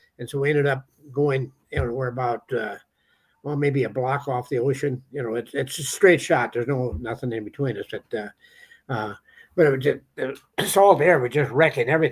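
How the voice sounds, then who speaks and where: With an American accent, a man speaks at a medium pitch and a fairly quick pace. His voice is somewhat breathy, with ordinary pitch variation. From Minnesota, US Midwest. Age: 80s+. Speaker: treasure hunter and author. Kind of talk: storytelling interview. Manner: talkative, halting with repetitions.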